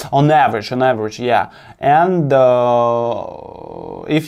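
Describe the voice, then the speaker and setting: This man has a non-native accent and a medium pitch. His pitch variation is ordinary. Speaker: crypto investment analyst. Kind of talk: presentation of an analysis. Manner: halting, with many repetitions and false starts.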